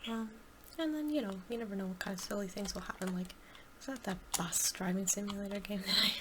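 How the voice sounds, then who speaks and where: The voice is soft-spoken and very fast. Noticeable background noise runs underneath. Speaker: ASMR gaming creator. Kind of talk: soft-spoken ASMR Q&A chat. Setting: gameplay recording. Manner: halting, many fillers.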